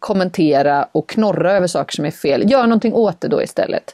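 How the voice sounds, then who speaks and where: A woman's dark, mellow tone comes through in a dry, close sound with no echo. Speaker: podcast co-host. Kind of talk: casual chat. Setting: sitting in a wardrobe closet. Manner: quiet, cautious.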